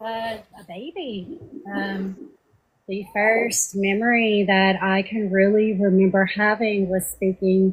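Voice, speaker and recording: A soft-spoken woman talks at a fairly slow pace. Her pitch is medium. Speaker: trauma survivor guest. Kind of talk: testimony. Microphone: breaking up, too quiet.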